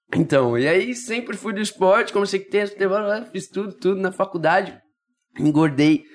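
Speaking at a moderate pace, a man with a high pitch uses lively intonation and long, frequent pauses. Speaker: triathlete. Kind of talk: casual chat.

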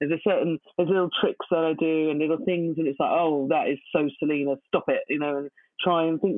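A woman in a plain, everyday voice speaks at a fairly quick pace, her pitch fairly low and her intonation fairly even. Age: 40s. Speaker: poet. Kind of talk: interview.

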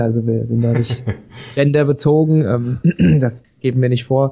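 A man speaks at medium pitch in a dark, mellow tone that is somewhat breathy. His intonation stays monotone and flat. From Hesse, Vogelsbergkreis. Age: 30s. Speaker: spirits company founder. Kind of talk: casual interview. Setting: Skype call.

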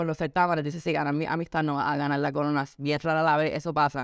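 In a very clean recording with a silent background, a woman with a Puerto Rican accent talks at a very fast pace. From Puerto Rico. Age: 20s. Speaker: model and beauty pageant contestant. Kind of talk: interview testimony.

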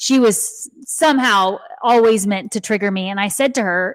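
A woman speaks in an American accent at a medium pitch, with ordinary pitch variation. The sound is dry and close, with no echo. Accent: slight Texan, can switch to Southern. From Texas. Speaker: intuitive, Reiki master and author. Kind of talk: casual podcast interview. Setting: video call.

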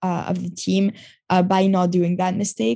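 The dark, mellow, somewhat breathy voice moves at a moderate pace. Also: woman. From Montreal, Canada. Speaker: marketing agency founder. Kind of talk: casual interview.

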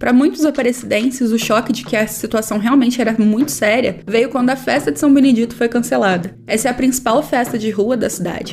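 Against noticeable background noise, a woman with fairly high pitch speaks at a fairly quick pace. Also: ordinary pitch variation, hardly any pauses. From Brazil, Aparecida, interior of São Paulo state. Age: 20s. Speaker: journalism student podcaster. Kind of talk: scripted narration.

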